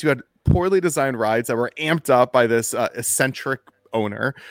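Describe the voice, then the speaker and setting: A man with a plain, everyday voice at a fairly quick pace, with lively intonation and a dry, close sound with no echo. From Washington, D.C. area. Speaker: documentary filmmaker. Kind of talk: casual interview.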